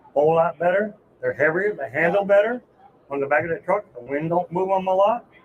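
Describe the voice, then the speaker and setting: Against noticeable background noise, a man with a high pitch speaks at a fairly quick pace with ordinary pitch variation. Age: 60s. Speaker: mobile home transport trucker. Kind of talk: casual interview. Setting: trade show.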